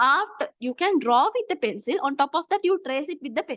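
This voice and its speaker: Extremely high-pitched female speech at a fairly quick pace, dry and close with no echo. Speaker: physics tutor. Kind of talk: lecture.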